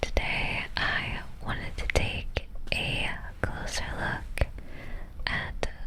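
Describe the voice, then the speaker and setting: The voice is a whisper. Background noise is noticeable. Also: woman. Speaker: ASMR creator. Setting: studio microphone recording. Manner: whispered.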